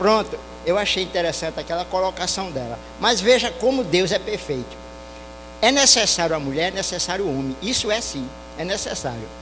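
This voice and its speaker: Over noticeable background noise, a man talks at a fairly quick pace in a high voice with very wide pitch swings. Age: 60s. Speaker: audience member. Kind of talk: public remarks at panel discussion.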